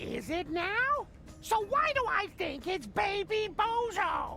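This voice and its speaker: A woman's put-on character voice, extremely high-pitched and fairly slow, with lively intonation over clear music in the background. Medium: video game. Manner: warm but snippy.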